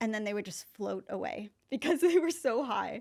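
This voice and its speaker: Speaking in an American accent with vocal fry, a woman with a fairly high pitch keeps a moderate pace on a very clean recording with a silent background. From US, Northern California. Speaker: marketing professor. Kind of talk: podcast interview. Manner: casual, with many fillers.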